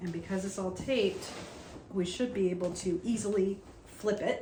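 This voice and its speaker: A woman's fairly even intonation is heard against noticeable background noise. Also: medium pitch for a woman, moderate pace. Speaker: laser cutting crafter. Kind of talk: tutorial talk to camera. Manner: casual.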